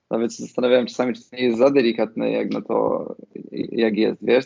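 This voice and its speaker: A man talks very fast at a medium pitch. His intonation stays flat and monotone. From Poland, Podhale (Nowy Targ). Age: 30s. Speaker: film director. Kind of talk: interview.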